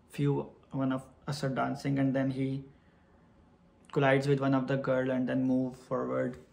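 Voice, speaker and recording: This man talks at a moderate pace, at a medium pitch, with flat, monotone intonation. Long pauses come often, and room echo is audible. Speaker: vlogger. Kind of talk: storytelling vlog.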